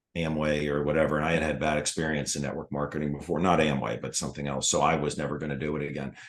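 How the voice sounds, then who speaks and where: The speaker talks very fast with hardly any pauses. The intonation is monotone and flat, with vocal fry. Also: man, very deep, low pitch for a man. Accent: American. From US Mid-Atlantic, Washington DC area. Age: 60s. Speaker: retired foot surgeon, network marketer. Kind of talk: interview.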